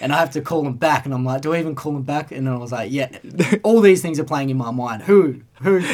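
A man with an Australian accent, fairly high in pitch, talking at a very fast pace with ordinary pitch variation, over noticeable background noise. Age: 20s. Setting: studio. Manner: laid-back, jokey.

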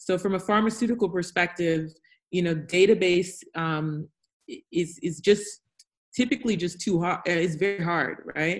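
This woman has an unremarkable speaking voice with an American accent, fairly low in pitch. She talks at a moderate pace with ordinary pitch variation. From United States. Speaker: health tech founder. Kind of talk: panel discussion. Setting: video call.

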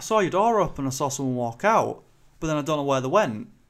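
A man with a Yorkshire accent, fairly high in pitch, at a fairly quick pace with lively intonation. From northern England, Selby, Yorkshire. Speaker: podcast host. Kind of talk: casual chat.

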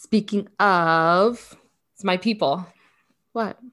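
A woman talks at a medium pitch with ordinary pitch variation. The recording is very clean, and the background is silent. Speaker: podcast co-host. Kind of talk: casual chat. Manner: chatty.

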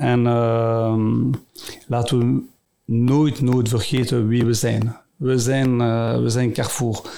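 Very slow and at a medium pitch, a man speaks in a dark, mellow tone with monotone, flat intonation and very even loudness. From Brussels area, Belgium. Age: 50s. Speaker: company CEO. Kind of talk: interview. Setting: studio. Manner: halting.

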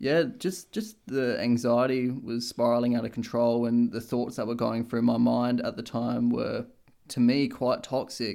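At a fairly slow pace, a man talks with an Australian accent. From Australia, Adelaide. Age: 20s. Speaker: podcast co-host. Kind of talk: casual chat.

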